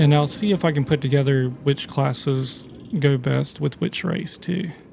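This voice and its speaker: Somewhat breathy and relaxed in tone, a man speaks with a fairly high pitch and ordinary pitch variation. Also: moderate pace. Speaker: gaming YouTuber. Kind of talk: let's play gameplay commentary. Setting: at home, late at night. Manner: casual, relaxed; quiet, keeping voice down.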